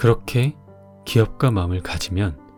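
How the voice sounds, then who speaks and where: With music playing behind him, a man speaks in a calm, soothing tone at a fairly slow pace, his pitch swinging very widely. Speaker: audiobook narrator. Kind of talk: audiobook reading.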